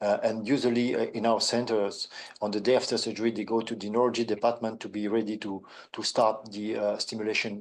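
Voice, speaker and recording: Talking very fast, a man with a French accent keeps a flat monotone at a medium pitch. The background is quiet. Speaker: neurosurgeon. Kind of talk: webinar panel answer. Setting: online webinar. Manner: halting.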